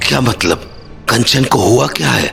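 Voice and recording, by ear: A man puts on a cartoonish character voice at a fairly low pitch. He speaks at a moderate pace over clear background noise.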